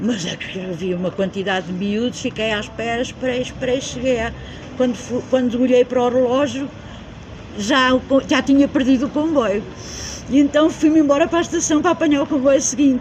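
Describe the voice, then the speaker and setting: Noticeable background noise sits behind this woman's voice. She speaks high-pitched and at a fairly quick pace. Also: lively intonation. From central Portugal (Beira, Coimbra district). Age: 70s. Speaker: community member interviewee. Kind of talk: casual interview, life story. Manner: halting, self-correcting.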